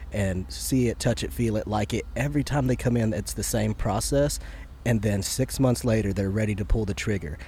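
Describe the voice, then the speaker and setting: At a moderate pace, a man uses an ordinary speaking voice, medium in pitch with ordinary pitch variation. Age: 30s. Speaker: podcast host and shop owner. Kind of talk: casual chat. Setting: on a boat.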